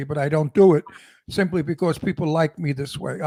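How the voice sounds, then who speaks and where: A man speaks with a Brooklyn accent at a fairly quick pace, his pitch fairly high and its variation ordinary. The tone is dark and mellow, and the sound is dry and close with no echo. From Brooklyn, New York. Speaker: podcast guest.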